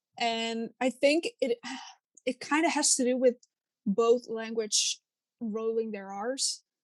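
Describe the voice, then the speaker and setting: In a dry, close recording with no echo, a woman with a Dutch accent speaks at a very slow pace and a fairly high pitch, with ordinary pitch variation and long, frequent pauses. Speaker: podcast co-host. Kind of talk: casual chat.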